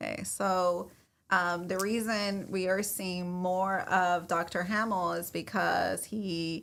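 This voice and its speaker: In a flat, monotone delivery, a woman speaks very slowly at a medium pitch. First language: not English. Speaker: realtor and podcast host. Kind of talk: casual chat.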